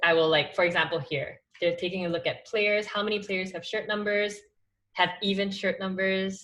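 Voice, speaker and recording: Bright and sharp in tone, a woman speaks at a medium pitch and moderate pace with ordinary pitch variation. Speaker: study group teacher. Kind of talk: tutorial. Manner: casual with many fillers.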